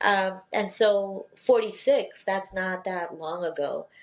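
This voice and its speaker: A woman speaks with a Filipino accent. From Philippines and Northern Mariana Islands. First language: Tagalog. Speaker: law professor. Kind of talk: interview conversation.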